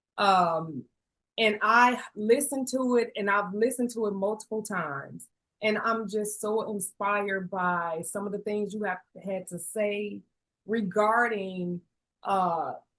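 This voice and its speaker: A woman at a fairly slow pace, medium pitch, ordinary pitch variation. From Chicago. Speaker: podcast host. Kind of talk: podcast interview.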